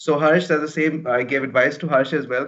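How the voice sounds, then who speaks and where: Fairly high pitch in a man's speaking voice. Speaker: career coach. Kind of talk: webinar talk. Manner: fast when nervous.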